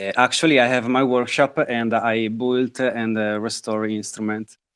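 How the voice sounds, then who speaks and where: A man speaks at a medium pitch with an Italian accent. The background is quiet. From northern Italy. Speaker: guitar maker. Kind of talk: interview. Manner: halting, many fillers.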